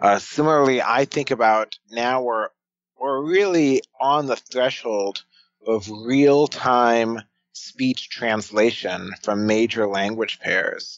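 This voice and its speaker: An American accent colors a man's medium-pitched voice as he talks at a very slow pace. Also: ordinary pitch variation. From United States. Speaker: futurist and author. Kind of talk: podcast interview.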